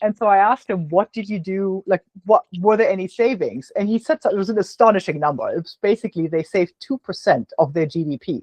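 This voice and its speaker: Speech comes at a very fast pace with a German accent and hardly any pauses. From Germany. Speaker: business podcast host. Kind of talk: casual interview conversation. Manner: halting, many fillers and repeats.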